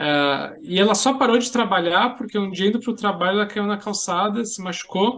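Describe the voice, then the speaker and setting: A man with a high voice talks at a moderate pace, his pitch rising and falling in an ordinary way, with hardly any pauses. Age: 40s. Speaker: social entrepreneur and software engineer. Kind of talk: podcast interview.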